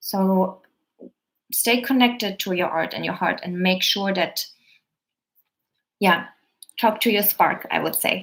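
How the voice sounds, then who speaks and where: Speaking at a fairly slow pace, a woman with a German accent keeps her intonation fairly even. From Germany. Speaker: actor and coach. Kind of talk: live stream Q&A. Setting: live stream video.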